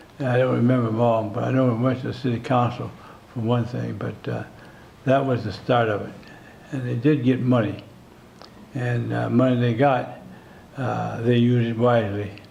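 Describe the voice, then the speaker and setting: With an American accent, a man at a medium pitch speaks at a moderate pace in a monotone, flat way with long, frequent pauses, amid audible room echo and noticeable background noise. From US Midwest, South Minneapolis, Minnesota. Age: 90s. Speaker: community center founding member. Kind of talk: interview. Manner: halting, with many fillers.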